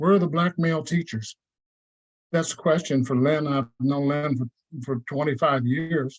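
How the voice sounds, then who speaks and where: Somewhat breathy and fairly even in intonation, a man talks at a moderate pace. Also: fairly high pitch for a man, dry, close sound with no echo. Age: 70s. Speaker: community member at public meeting. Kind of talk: public meeting comment.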